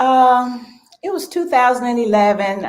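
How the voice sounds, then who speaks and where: Here a woman speaks at a moderate pace. Her intonation is lively. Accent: Alabama. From US South, Selma, Alabama. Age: 60s. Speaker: small business owner. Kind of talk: interview.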